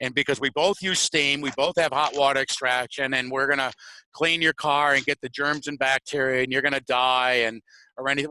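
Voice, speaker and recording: A man with an American accent, fairly high in pitch, bright and sharp in tone, in a dry, close sound with no echo. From Connecticut. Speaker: auto detailer, show co-host. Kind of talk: casual talk show. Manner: repetitive, filler-heavy.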